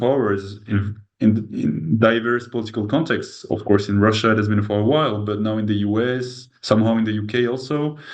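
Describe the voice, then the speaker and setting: A man with a French accent, fairly low pitch and fairly even intonation at a moderate pace, with audible room echo. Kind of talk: interview conversation. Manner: halting.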